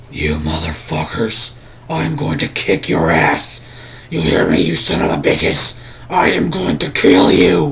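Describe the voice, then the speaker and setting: In a put-on character voice, a man speaks raspy and gravelly at a very deep, low pitch and a fairly slow pace, with clear background noise behind him. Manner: aggressive, threatening.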